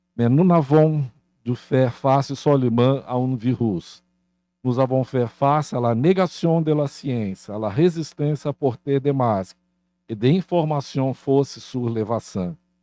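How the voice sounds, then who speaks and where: A man speaks at medium pitch with a dark, mellow tone and ordinary pitch variation. His pace is very slow, and the sound is dry and close with no echo against a quiet background. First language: Portuguese (speaking French). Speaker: university leader. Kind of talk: formal welcome speech.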